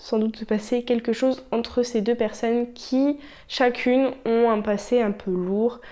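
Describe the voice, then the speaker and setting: The speaker is a woman with a high pitch. Her intonation stays fairly even. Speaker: booktuber. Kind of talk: casual talk to camera.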